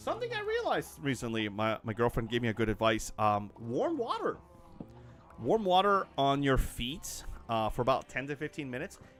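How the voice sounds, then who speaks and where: There is noticeable background noise behind this man. He speaks at a moderate pace. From Canada. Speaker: gaming livestreamer. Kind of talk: casual livestream chat. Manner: halting, many fillers.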